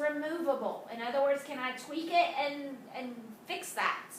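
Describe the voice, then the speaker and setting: A raised, projected voice with a bright, sharp tone moves at a moderate pace with ordinary pitch variation, and audible room echo surrounds it. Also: woman. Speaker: high school math teacher. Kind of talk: video lesson. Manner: casual, many fillers.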